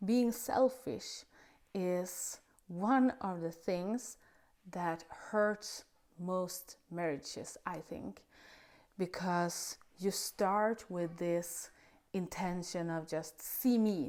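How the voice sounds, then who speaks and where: A woman with a non-native accent speaks very slowly at a medium pitch with ordinary variation, on a very clean recording with a silent background. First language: not English. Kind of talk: casual faith talk to camera. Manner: hesitant, with filler sounds.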